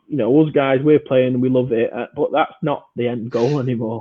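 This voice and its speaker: In a British accent, a man talks at a moderate pace with a medium pitch and monotone, flat intonation. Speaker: podcast host and amateur American football player. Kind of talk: casual podcast chat.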